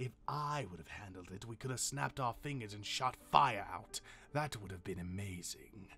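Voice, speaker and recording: Over clear background noise, a man puts on a character voice at a fairly low pitch, moving at a moderate pace. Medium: audio drama. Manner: sneering, sarcastic.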